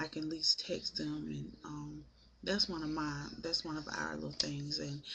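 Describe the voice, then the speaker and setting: A soft-spoken woman at a moderate pace. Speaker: vlogger. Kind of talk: casual vlog monologue. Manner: hesitant, many filler ums.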